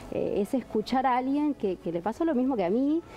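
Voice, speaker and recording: Over light background noise, a woman with a Uruguayan accent talks at a fairly quick pace with lively intonation. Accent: Rioplatense Spanish (Uruguayan). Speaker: event organizer and entrepreneur; guest. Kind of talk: TV talk show interview. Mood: warm, enthusiastic. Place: studio. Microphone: lapel.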